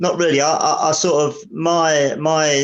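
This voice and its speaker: A man is speaking. He talks with an Essex accent. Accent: southern English (Essex). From Essex, England. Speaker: drummer. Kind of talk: interview. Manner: halting.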